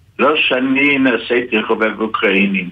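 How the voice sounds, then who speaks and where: Over noticeable background noise, a man talks at a very slow pace and a medium pitch. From Ukraine. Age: 80s+. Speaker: Holocaust survivor. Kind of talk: testimony. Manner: halting.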